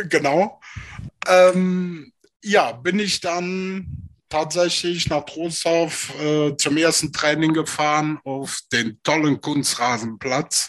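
A very slow pace with ordinary pitch variation. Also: man, fairly high pitch for a man. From Rhineland, Germany (Alfter near Bonn). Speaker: former American football player. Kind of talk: casual interview.

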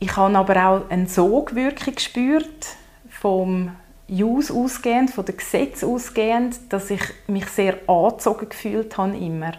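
Amid noticeable background noise, a woman talks at a fairly slow pace with a medium pitch and ordinary pitch variation. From Zurich, Switzerland. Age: 30s. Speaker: lawyer in training and queer activist. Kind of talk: casual interview conversation.

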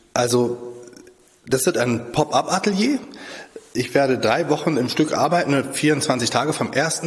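Over noticeable background noise, a man of medium pitch speaks very slowly, with ordinary pitch variation and very even loudness. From Lübeck. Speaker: portrait sculptor. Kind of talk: interview.

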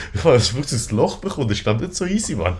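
Intonation is lively, and the voice carries a somewhat breathy quality. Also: man. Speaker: podcast co-host. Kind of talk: casual chat.

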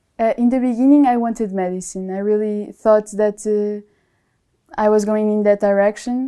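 A woman speaks with a Portuguese accent in a fairly high, dark and mellow voice, her intonation flat and monotone, on a very clean recording with a silent background. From Portugal. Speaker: biotechnology student. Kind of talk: interview.

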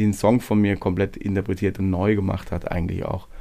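In a very clean recording with a silent background, a man speaks at a fairly low pitch with a dark, mellow tone and monotone, flat intonation. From Swabia, Hohenlohe district. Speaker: singer-songwriter. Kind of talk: casual interview.

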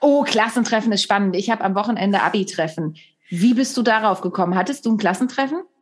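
A woman speaks at a very fast pace in a fairly high, somewhat breathy voice, with lively intonation and very even loudness. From Germany. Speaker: podcast host and comedian. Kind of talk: casual interview.

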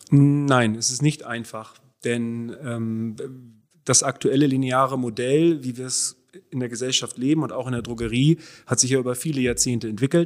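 A man with a normal speaking voice talks at a mid-range pitch, his intonation staying fairly even. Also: moderate pace. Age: 40s. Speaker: circular economy entrepreneur. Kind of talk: interview conversation. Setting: in person, same room.

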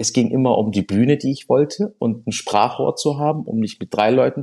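A man speaks in a dark, mellow tone. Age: 40s. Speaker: restaurateur and social media creator. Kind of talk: interview. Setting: studio.

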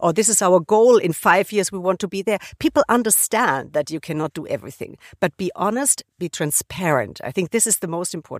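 With an ordinary speaking voice at a medium pitch, a woman talks at a fairly quick pace with lively intonation, in a very clean recording with a silent background and a dry, close sound with no echo. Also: hardly any pauses. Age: 50s. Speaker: corporate executive. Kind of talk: interview.

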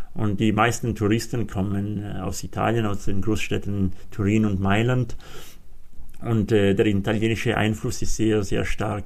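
With audible room echo, a man talks at a fairly slow pace and a fairly low pitch. His intonation is monotone and flat. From Aosta Valley, Italy (Walser community). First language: Walser German dialect and Italian (speaking German). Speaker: mountain guide. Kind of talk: interview. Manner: halting, many fillers.

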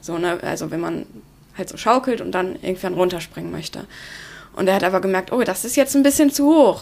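In an ordinary speaking voice, a woman talks at a fairly quick pace and medium pitch, her intonation lively and her loudness swinging widely. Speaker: youth mentoring volunteer. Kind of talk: interview.

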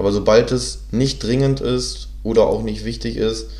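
Noticeable noise sits in the background. A man talks at a moderate pace. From northern Germany (Hannover). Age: 20s. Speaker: podcast co-host. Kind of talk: casual chat. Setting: studio, sitting side by side.

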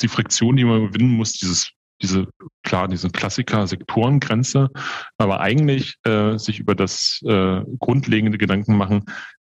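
A man speaks at a moderate pace in a normal speaking voice, fairly low in pitch. His intonation is fairly even, and the sound is dry and close with no echo. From Berlin, Germany. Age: 40s. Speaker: hospital group executive. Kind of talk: interview.

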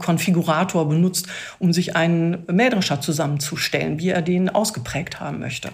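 The pace here is moderate. A somewhat breathy quality runs through the voice. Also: woman. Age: 50s. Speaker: IT specialist. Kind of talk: casual interview.

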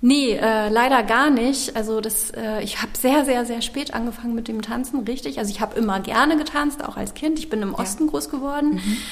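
A woman speaks at a high pitch and a fairly quick pace, with hardly any pauses and ordinary pitch variation. Audible room echo and noticeable background noise surround her. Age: 40s. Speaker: dance studio owner. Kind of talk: interview. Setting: dance studio, old factory hall.

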